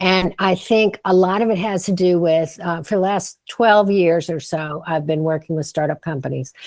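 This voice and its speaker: In a normal speaking voice that is fairly low for a woman, she talks at a moderate pace with ordinary pitch variation and hardly any pauses. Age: 60s. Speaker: startup advisor and author. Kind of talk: podcast interview. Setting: studio.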